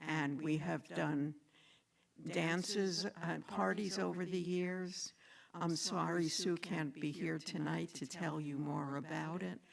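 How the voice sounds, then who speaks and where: A woman speaks at a very slow pace with a very deep, low pitch and ordinary pitch variation. Vocal fry runs through her voice. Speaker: inclusion network volunteer, teacher. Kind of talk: short community talk. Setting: synagogue service. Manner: loud.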